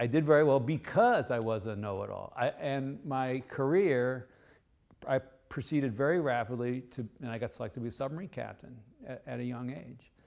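A man with an American accent and a normal speaking voice, medium in pitch, at a fairly quick pace with big swings in loudness. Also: ordinary pitch variation. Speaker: leadership author and former submarine captain. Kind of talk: interview.

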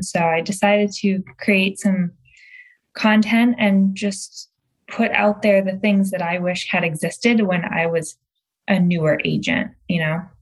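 The voice is somewhat breathy, moving at a fairly slow pace with fairly even intonation. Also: woman. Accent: American. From Michigan, outside Detroit. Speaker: real estate coach. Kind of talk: interview conversation.

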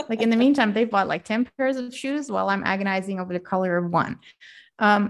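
In a Dutch accent, a woman speaks with a fairly high pitch and ordinary pitch variation over a quiet background. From Netherlands. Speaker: life coach. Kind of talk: interview.

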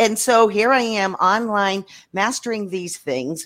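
A woman is speaking. Her pace is very slow. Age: old. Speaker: business coach. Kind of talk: group panel discussion. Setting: video call.

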